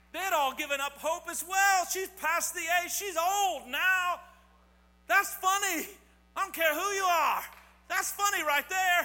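In a raised, projected voice, a man speaks at a fairly slow pace with an extremely high pitch and an animated, playful tone that is bright and sharp. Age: 40s. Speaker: pastor. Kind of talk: sermon to a congregation with children and young people. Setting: church service. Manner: animated, call-and-response exhortation; playful, joking with the kids.

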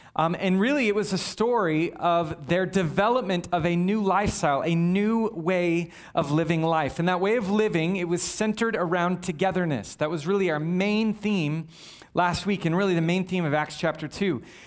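A man speaks in a high voice with ordinary pitch variation. His loudness stays very even. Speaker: pastor. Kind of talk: sermon. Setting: church. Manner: fast.

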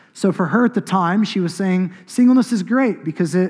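With an American accent, a man talks at a moderate pace. The background is silent and the recording very clean. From Oklahoma, US. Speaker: pastor. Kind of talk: sermon. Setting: church.

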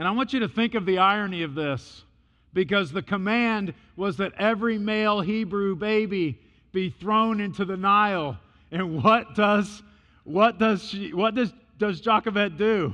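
A man shouts in a raised, projected voice with an American accent, high-pitched with a bright, sharp tone, against a quiet background. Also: ordinary pitch variation, moderate pace. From US Midwest, Illinois. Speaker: missionary and preacher. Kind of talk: sermon. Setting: church. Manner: loud, talks as if yelling.

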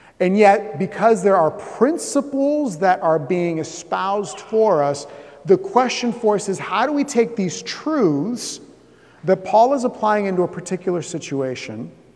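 Amid noticeable background noise, a man with an American accent talks fairly slowly in a high voice with lively intonation. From US South, Southeast Florida. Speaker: pastor. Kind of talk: sermon.

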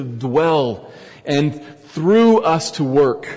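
A man is talking, and there is clearly audible noise behind him. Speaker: pastor. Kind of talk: sermon. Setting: church. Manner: edgy tone.

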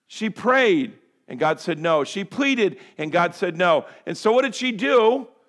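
A man speaks loudly in a high voice with an animated tone. His pitch swings very widely. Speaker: pastor. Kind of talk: sermon. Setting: church.

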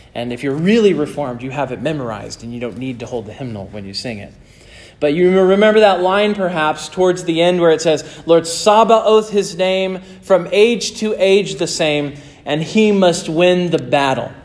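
A man's high-pitched voice with an American accent, at a moderate pace, with lively intonation, big swings in loudness and audible room echo. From northern US. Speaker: pastor. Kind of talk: sermon.

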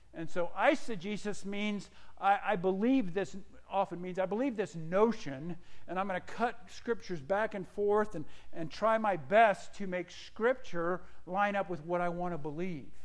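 A man with a high voice talks at a moderate pace with ordinary pitch variation, and the room echo is audible. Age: 50s. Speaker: pastor. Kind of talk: sermon.

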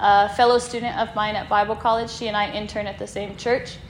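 A woman with an American accent speaks at a fairly high pitch with ordinary variation. Noticeable background noise is present. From Kansas, US. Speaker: missionary. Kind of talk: presentation to church congregation. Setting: church sanctuary with audience and slides. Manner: clear and distinct.

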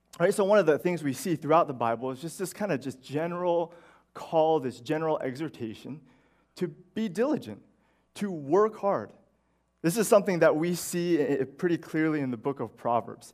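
Lively intonation marks this man's fairly high voice as he talks at a fairly quick pace in a very clean recording with a silent background. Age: 30s. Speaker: pastor. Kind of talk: sermon. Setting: church. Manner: halting.

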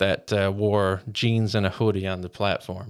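A man speaks at a moderate pace with a Newfoundland accent. His intonation stays fairly even. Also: very clean recording, silent background. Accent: Newfoundland (Bayman). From rural Newfoundland, Canada. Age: 30s. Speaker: intern. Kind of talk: interview.

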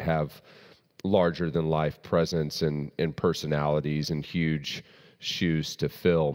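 Speaking in a Southern US accent at a very deep, low pitch, a man talks at a fairly slow pace on a very clean recording with a silent background. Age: 30s. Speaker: pastor. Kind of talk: doctrinal teaching sermon. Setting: church service with congregation.

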